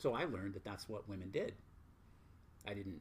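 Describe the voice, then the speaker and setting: Somewhat breathy, a man speaks in an American accent with ordinary pitch variation. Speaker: spiritual teacher. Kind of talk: casual chat. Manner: blunt.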